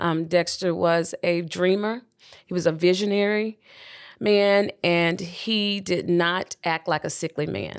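A woman talks very slowly, her intonation fairly level. The recording is very clean and the background silent. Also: fairly low pitch for a woman. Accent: Southern US. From US South, Birmingham, Alabama. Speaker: widow and mother of seven. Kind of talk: interview, personal testimony.

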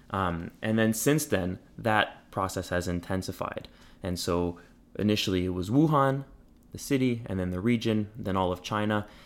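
Here a man speaks with a Montreal accent. His pitch is fairly low, with ordinary variation. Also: moderate pace. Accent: Montreal anglophone Canadian. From Quebec, Montreal. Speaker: family doctor and public health resident. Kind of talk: interview. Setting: home studio.

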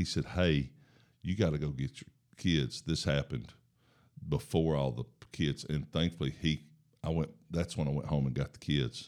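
Speaking with a Southern US accent, a man has a very deep, low voice with ordinary pitch variation. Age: 50s. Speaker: football coach and mission worker. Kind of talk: casual interview about faith.

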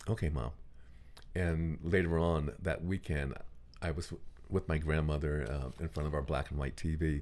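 A man's very deep, low voice at a moderate pace, with fairly even intonation and long, frequent pauses. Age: 60s. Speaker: actor and care actor who plays patients for doctors. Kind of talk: casual interview. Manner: halting, many fillers and repeated words.

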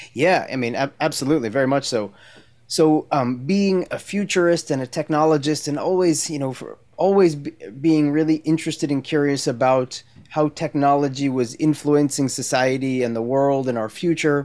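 A man with an American accent, fairly high pitch, ordinary pitch variation and a moderate pace. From New Jersey, US. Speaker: tech entrepreneur and education founder. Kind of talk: interview conversation. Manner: halting, many fillers.

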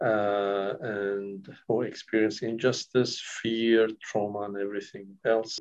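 A man with a Kurdish accent speaks at a very slow pace in a fairly low pitch, his intonation monotone and flat, with hardly any pauses. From northern Iraq (Kurdish village near Syria-Turkey border). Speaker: counsellor. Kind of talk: interview. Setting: recorded interview. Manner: halting, many fillers.

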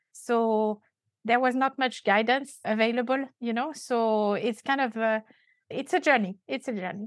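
Speaking at a fairly slow pace with a French accent, a woman has a fairly high pitch and ordinary pitch variation, the sound dry and close with no echo. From France. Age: 50s. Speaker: compensation and benefits consultant. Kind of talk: casual interview. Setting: remote call.

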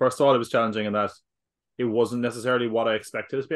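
A man speaks at a very fast pace. His pitch sits fairly low for a man. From Ireland. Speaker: podcaster. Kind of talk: casual chat. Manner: animated.

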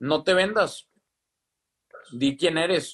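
Speaking in a Mexican accent, a man keeps a moderate pace, a fairly high pitch and fairly even intonation. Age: 20s. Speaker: entrepreneur, live stream host. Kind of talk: casual chat. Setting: Instagram live video.

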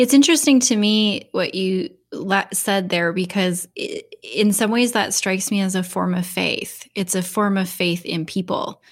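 A woman speaks at a fairly slow pace, her medium-pitched voice somewhat breathy. Her pitch varies in an ordinary way. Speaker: podcast host.

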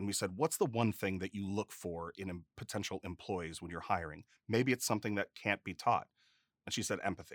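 A man's ordinary speaking voice, fairly low in pitch with ordinary pitch variation, at a fairly quick pace, with a dry, close sound, no echo and a very clean recording against a silent background. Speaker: podcast host. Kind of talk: interview conversation.

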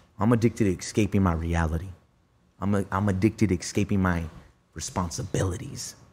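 A man with a very deep, low pitch talks at a very fast pace, somewhat breathy and animated in tone, with ordinary pitch variation. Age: 30s. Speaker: musician and recovering addict sharing his story. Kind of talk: casual chat. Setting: studio.

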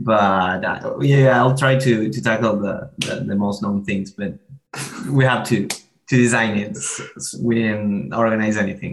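A man with a Spanish accent and fairly low pitch speaks at a fairly slow pace. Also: ordinary pitch variation. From Argentina, Buenos Aires. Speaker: MBA student. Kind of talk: interview.

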